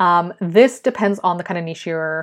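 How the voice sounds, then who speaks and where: Against a quiet background, a woman of medium pitch speaks at a fairly quick pace with ordinary pitch variation. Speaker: podcast host and freelance writer. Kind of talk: casual solo monologue. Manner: mumbling at times.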